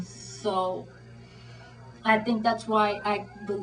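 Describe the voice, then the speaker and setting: Over music in the background, a woman speaks at a medium pitch. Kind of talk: interview answer. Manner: halting, hesitant, repetitive.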